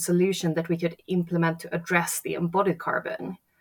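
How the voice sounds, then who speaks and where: A woman talks at a fairly low pitch in a Swedish accent. The recording is very clean, with a silent background. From Sweden. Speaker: architect and sustainability entrepreneur. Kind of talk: interview.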